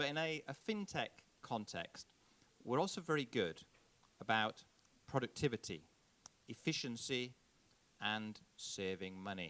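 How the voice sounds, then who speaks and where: A man with a Yorkshire accent speaks at a medium pitch and a fairly slow pace, leaving long, frequent pauses. His tone is bright and sharp, and his pitch swings very widely. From northern England, Yorkshire. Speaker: diplomat, conference speaker. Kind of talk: conference keynote speech. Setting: conference stage with audience.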